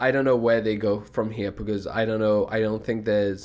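On a very clean recording with a silent background, a man uses a normal speaking voice at medium pitch and a fairly quick pace. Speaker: esports podcast host. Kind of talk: casual banter about esports.

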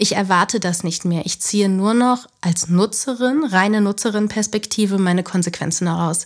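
A woman's medium-pitched voice at a moderate pace, with ordinary pitch variation, hardly any pauses, and noticeable background noise. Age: 30s. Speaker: former news journalist, self-employed media consultant. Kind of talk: podcast interview.

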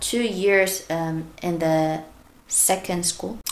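A woman talks at a very slow pace in a Korean accent. Her pitch is medium. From South Korea. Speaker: primary school teacher. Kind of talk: casual interview.

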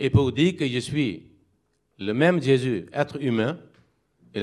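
Lively intonation at a fairly slow pace. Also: man. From Pakistan. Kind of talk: interfaith debate. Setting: community hall with live audience.

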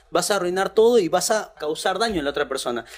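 A man talks at a high pitch, his intonation lively. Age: 30s. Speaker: youth pastor. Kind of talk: casual chat.

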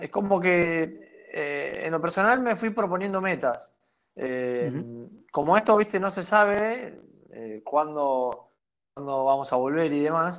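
Lively intonation carries a man's high-pitched voice at a very slow pace. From Argentina, Santa Fe province. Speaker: professional basketball player. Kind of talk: casual interview. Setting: at home. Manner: halting, many repetitions.

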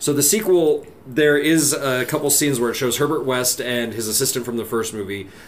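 Over noticeable background noise and audible room echo, a man talks at medium pitch with ordinary pitch variation and hardly any pauses. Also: fairly quick pace. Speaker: podcast co-host. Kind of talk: casual chat.

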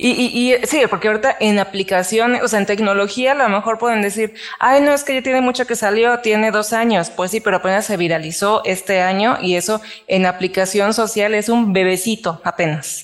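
A woman's fairly high, fairly quick voice with ordinary pitch variation and very even loudness. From Mexico. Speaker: podcast co-host. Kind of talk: casual chat.

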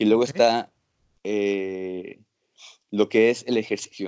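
A man speaks at a fairly slow pace against a quiet background. The sound is dry and close, with no echo. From Mexico, Acapulco. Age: 30s. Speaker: physician. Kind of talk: interview. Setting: video call.

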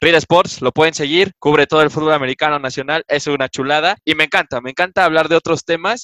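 A very fast voice with a bright, sharp tone and fairly even intonation, hardly pausing at all. The sound is dry and close with no echo, over a quiet background. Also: man, fairly high pitch for a man. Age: 20s. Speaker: sports journalist and student. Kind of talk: casual interview.

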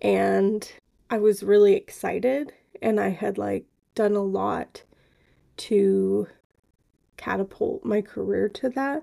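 The woman talks at a very slow pace, with long, frequent pauses between her words. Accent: American. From Southern California. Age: 30s. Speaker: podcast guest, host's wife. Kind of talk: casual interview chat.

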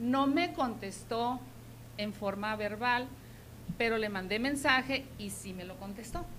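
With audible room echo, a woman talks at a very slow pace in a fairly high pitch, her loudness swinging widely and her pitch varying in an ordinary way. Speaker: schoolteacher and local party activist. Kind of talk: interview.

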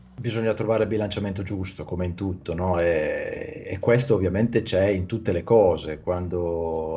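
A man with a very deep, low voice and a dark, mellow tone talks at a moderate pace, somewhat breathy, with ordinary pitch variation. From Italy. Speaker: Italian language YouTuber and teacher. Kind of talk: casual interview chat. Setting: video call.

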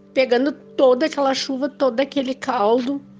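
Over noticeable background noise, a woman speaks in a high pitch at a fairly slow pace. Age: 50s. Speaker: near-death experience survivor. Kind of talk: testimony.

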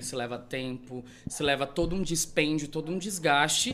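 This is a man speaking. His pace is moderate. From Brazil, Rondonópolis, Mato Grosso. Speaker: event planner. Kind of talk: interview.

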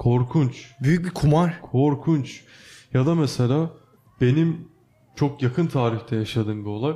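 Fairly slow and very even in loudness, a man's somewhat breathy, fairly high voice has a dark, mellow tone and ordinary pitch variation. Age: 20s. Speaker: podcast co-host, university student. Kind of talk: casual chat.

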